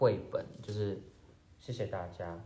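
This man's voice sits at a fairly low pitch. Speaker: actor. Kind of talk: livestream gift unboxing chat. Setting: solo phone livestream with earphone mic. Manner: casual, occasionally halting. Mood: cheerful, amused. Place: home room. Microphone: phone near.

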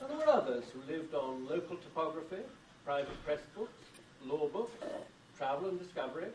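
A man with a British accent, fairly high in pitch, with lively intonation and a moderate pace. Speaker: book editor and bibliophile. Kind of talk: lecture. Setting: stage with audience.

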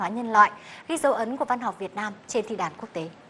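There is light background noise. Through it, a woman talks. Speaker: TV news presenter. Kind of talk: news broadcast presenting. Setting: studio. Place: studio.

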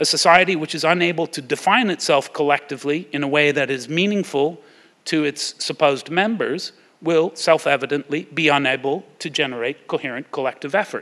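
A man with a plain, everyday voice, fairly high in pitch, at a fairly quick pace with ordinary pitch variation. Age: 50s. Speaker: war studies scholar; guest lecturer. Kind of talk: lecture. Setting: stage with audience. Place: hall. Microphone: podium.

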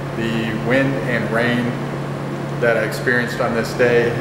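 Amid loud background noise and audible room echo, a man speaks at a moderate pace. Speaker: fishing vlogger. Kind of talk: casual vlog chat. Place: home room. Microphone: phone near.

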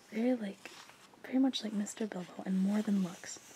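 Soft-spoken and with a gentle tone, the speaker talks at a fairly quick pace over noticeable background noise. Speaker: reader of a novel aloud. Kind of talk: audiobook-style reading aloud. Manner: soft, gentle ASMR reading voice.

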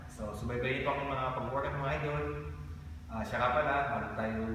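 There is noticeable background noise and strong room echo. The speaker is a man. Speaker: fitness coach. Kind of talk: casual vlog chat. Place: gym.

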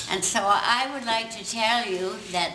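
Noticeable background noise sits behind a woman who speaks very slowly in a fairly high pitch with ordinary variation. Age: 80s+. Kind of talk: public speech. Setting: community hall. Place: hall. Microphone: camera far.

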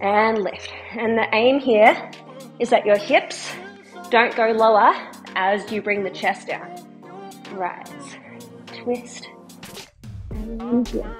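Over clear music in the background, a woman speaks at a very slow pace with long, frequent pauses and ordinary pitch variation. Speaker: fitness instructor. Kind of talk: workout instruction. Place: home room. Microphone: camera far.

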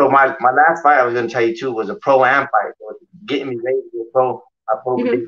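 A man talks at a very fast pace with an American accent. His intonation stays fairly even against a quiet background. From Colorado (Pueblo). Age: 30s. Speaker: professional boxer. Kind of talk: casual interview. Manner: halting. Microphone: video call.

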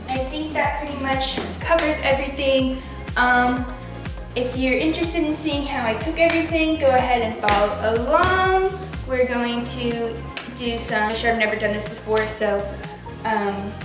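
Clear music plays in the background and the room echo is audible as a woman with a high pitch speaks at a moderate pace with ordinary pitch variation. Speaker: lifestyle vlogger. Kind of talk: casual vlog chat. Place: kitchen. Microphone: camera far.

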